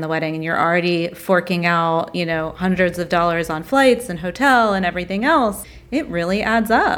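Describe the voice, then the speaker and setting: Here is a woman with an American accent and a plain, everyday voice. She talks at a moderate pace with fairly low pitch. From US South. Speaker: wedding podcast co-host. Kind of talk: casual interview.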